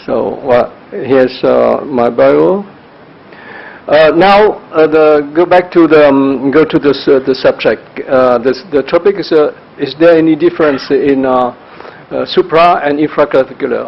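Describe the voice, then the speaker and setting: There is noticeable background noise as a man talks at a fairly slow pace. His pitch is fairly high, with ordinary pitch variation. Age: 60s. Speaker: anesthesiologist. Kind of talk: conference talk. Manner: halting, many fillers.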